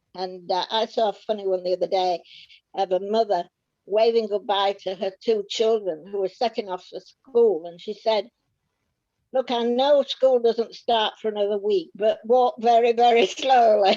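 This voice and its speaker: Dark, mellow tone from a woman at a fairly high pitch, with ordinary pitch variation. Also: moderate pace. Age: 80s+. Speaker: war-time childhood witness. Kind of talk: interview. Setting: video call.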